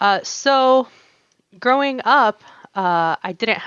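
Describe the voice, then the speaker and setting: A woman's voice with lively intonation. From US, North Carolina. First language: Arabic. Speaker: embroidery artist. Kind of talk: casual interview chat. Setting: podcast.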